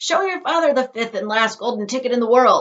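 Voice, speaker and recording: A woman's put-on character voice, high-pitched and at a fairly quick pace. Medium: read story.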